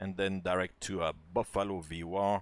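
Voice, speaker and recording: In a French accent, a man speaks fairly slowly in a relaxed tone, recorded very cleanly with a silent background and a dry, close sound with no echo. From France. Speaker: flight simulator streamer. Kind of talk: live-stream commentary and tutorial. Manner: hesitant, many filler words; casual, relaxed.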